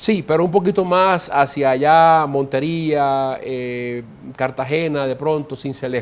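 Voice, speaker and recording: In a Caribbean Colombian accent, a man speaks at a fairly slow pace. His voice is fairly high, with ordinary pitch variation. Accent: Colombian Caribbean coastal. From Colombia, Caribbean coast (Córdoba). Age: 40s. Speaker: ambassador. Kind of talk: interview. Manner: halting, frequent repetitions.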